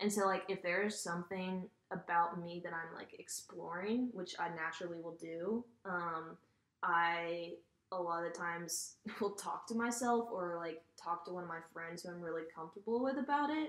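A woman at a moderate pace, fairly low in pitch with ordinary pitch variation, in a normal speaking voice. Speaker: college student. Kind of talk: casual chat.

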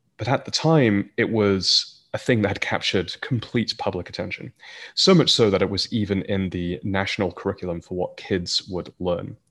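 A man's voice, an ordinary speaking voice, fairly low in pitch with ordinary pitch variation, at a moderate pace against a quiet background. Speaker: startup founder. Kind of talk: interview conversation.

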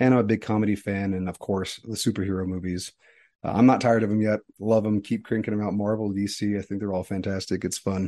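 Over a quiet background, a man speaks at a very fast pace with a dark, mellow tone. His pitch is fairly low and his intonation is monotone and flat. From East Texas, raised in Utah from age five. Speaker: podcast co-host, physician scientist. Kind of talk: casual conversation.

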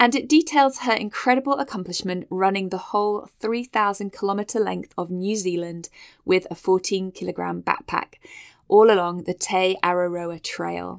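In a very clean recording with a silent background, a woman speaks at medium pitch and a moderate pace in a plain, everyday voice with ordinary pitch variation. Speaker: health podcast host. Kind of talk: solo podcast monologue, encouraging.

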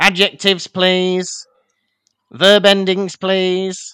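In a put-on character voice, a man speaks very slowly at a high pitch with monotone, flat intonation. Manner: terse, curt.

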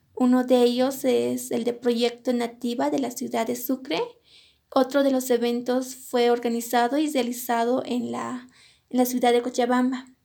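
A woman's high-pitched voice with a dark, mellow tone moves at a fairly slow pace in a monotone, flat intonation. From Bolivian highlands, La Paz department (Colquiri). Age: young. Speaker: cook. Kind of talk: personal storytelling.

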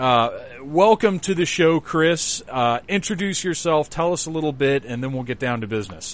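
A man talks at a moderate pace with lively intonation and a fairly high pitch.

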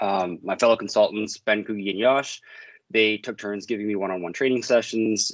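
A man speaks fairly quickly in a Maritime Canadian accent. His voice is fairly low, with fairly even intonation. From Maritimes, Canada. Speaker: service management consultant. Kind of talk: podcast interview.

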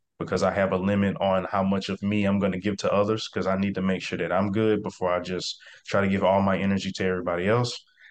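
A man's fairly low voice at a very fast pace, monotone and flat, with hardly any pauses. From US South, South Mississippi (Biloxi/Gulfport area). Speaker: real estate investor. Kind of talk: interview. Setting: video call.

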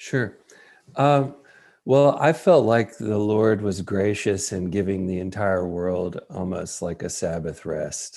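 A man with a fairly low voice speaks at a very slow pace with ordinary pitch variation. The recording is very clean with a silent background. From US South, West Tennessee. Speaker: college tennis coach. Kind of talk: interview conversation.

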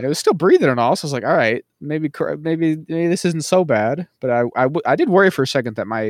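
A man speaks at a very fast pace with lively intonation. His pitch is fairly high. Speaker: podcast co-host. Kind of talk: casual comedic podcast banter.

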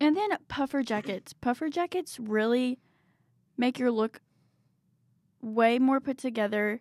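A woman with a Southern accent talks at a fairly slow pace, leaving long, frequent pauses. Her high voice has lively intonation, and the recording is very clean with a silent background. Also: dry, close sound with no echo. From Tennessee, near Nashville. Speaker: student radio fashion assistant. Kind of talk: casual chat. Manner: animated.

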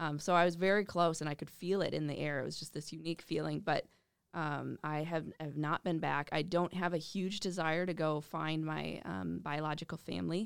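A woman speaks with an Upper Midwest accent in a very deep, low voice. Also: fairly even intonation, moderate pace. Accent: Upper Midwest American. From Minnesota, western Twin Cities suburbs. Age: 20s. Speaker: adaptive athlete and amputee ambassador. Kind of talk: interview.

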